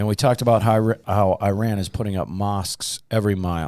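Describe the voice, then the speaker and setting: With a Minnesotan accent, a man talks in a fairly low pitch with fairly even intonation, recorded very cleanly against a silent background. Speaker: pastor and podcast host. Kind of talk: casual podcast chat.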